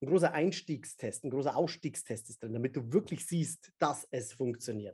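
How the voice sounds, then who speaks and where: A man speaks at a moderate pace in a fairly high pitch with a dark, mellow, somewhat breathy tone. His pitch variation is ordinary, and his loudness swings widely. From Bavaria, Upper Palatinate. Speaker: memory expert and speaker. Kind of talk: casual interview.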